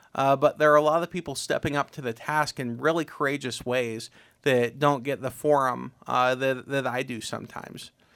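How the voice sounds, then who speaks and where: Speaking in an Ohio accent, a man talks at a fairly high pitch and a moderate pace with fairly even intonation. The recording is very clean, with a silent background. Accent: Midwestern American (Ohio). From Ohio, Tuscarawas County. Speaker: community volunteer organizer and military veteran. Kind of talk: interview conversation. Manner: hesitant, frequent 'uh' fillers.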